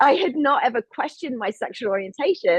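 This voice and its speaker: A woman is speaking. She has an English accent. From England. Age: 40s. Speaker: filmmaker and activist. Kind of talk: panel discussion.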